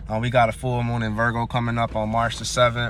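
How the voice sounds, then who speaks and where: At a fairly quick pace, a man speaks in an animated tone at a medium pitch. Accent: slight Southern US. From US South. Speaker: astrology and tarot youtuber. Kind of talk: casual tarot reading monologue. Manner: casual, slangy, animated.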